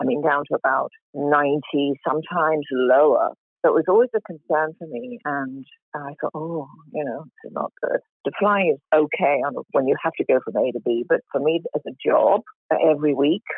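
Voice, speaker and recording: A woman with an American accent, very deep and low in pitch, with ordinary pitch variation. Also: moderate pace. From England, London. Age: 60s. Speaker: patient, retired flight attendant. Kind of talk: testimony.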